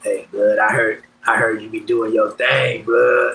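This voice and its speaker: Using a put-on character voice, a man speaks at a fairly slow pace in an extremely high, raspy pitch. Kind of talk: street slang.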